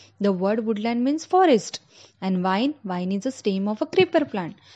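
A woman speaks with an Indian accent at a fairly slow pace. Her pitch swings very widely. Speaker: school English teacher. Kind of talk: online lecture to children. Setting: recorded online lesson. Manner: slow, explanatory.

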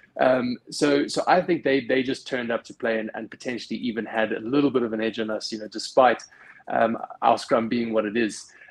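Over a quiet background, a man speaks at a fairly quick pace with fairly even intonation. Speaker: rugby fan panelist. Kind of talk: casual chat. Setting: video call. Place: home room. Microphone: video call.

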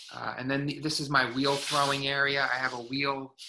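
A man speaks at a moderate pace, his tone bright and sharp. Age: 40s. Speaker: studio potter. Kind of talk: artist talk and demo. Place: workshop. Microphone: video call.

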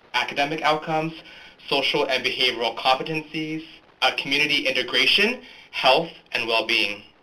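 The speaker moves at a fairly quick pace with ordinary pitch variation over noticeable background noise. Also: man, fairly high pitch for a man. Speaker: academic journal editor. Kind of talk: scripted presentation. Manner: formal.

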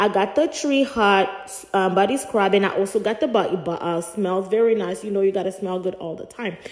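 This woman talks at a fairly quick pace with hardly any pauses, her pitch medium and its variation ordinary. Noticeable background noise runs behind her. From Africa. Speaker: vlogger. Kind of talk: vlog voiceover narration. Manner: casual, chatty.

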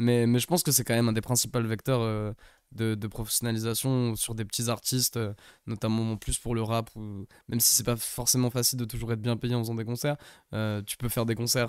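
A man's monotone, flat voice at a fairly quick pace, dry with no echo, against a quiet background. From England, Manchester; England. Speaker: rapper; talk show host or guest. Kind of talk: casual interview chat. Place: studio. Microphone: studio mic.

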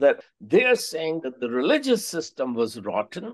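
The speaker has an Indian accent. The background is quiet. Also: man. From India (Allahabad). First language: Hindi. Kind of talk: podcast interview. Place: home room. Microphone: webcam.

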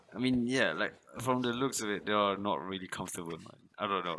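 A man speaks with a very deep, low pitch. Noticeable background noise runs behind him. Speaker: reaction streamer. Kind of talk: casual reaction commentary. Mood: amused, incredulous. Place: home room. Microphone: headset.

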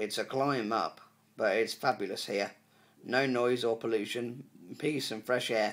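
The man's tone is upbeat, his pitch medium. He keeps to a moderate pace. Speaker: poet and YouTube creator. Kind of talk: poetry reading, introduced casually then read aloud. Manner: upbeat, friendly, earnest. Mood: earnest, pleased. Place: home room. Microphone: phone near.

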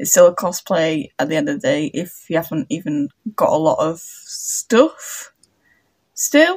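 A somewhat breathy voice with very wide pitch swings at a fairly slow pace, against a quiet background. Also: woman. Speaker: cosplay vlogger. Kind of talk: casual vlog chat and makeup tutorial. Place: home room. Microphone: phone near.

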